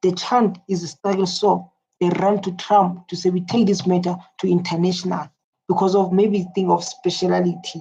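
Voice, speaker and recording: Dark, mellow tone in a somewhat breathy female voice. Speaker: reaction video host. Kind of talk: casual commentary.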